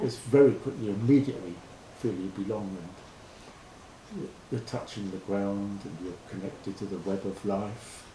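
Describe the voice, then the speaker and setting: A somewhat breathy man with a fairly low voice talks at a moderate pace, with ordinary pitch variation and big swings in loudness. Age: 70s. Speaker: farm volunteer. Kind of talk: interview answer.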